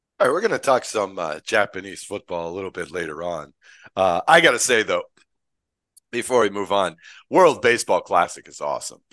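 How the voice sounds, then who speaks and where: A man with an American accent at a fairly quick pace, over a quiet background. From United States. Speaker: podcast host. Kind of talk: casual chat.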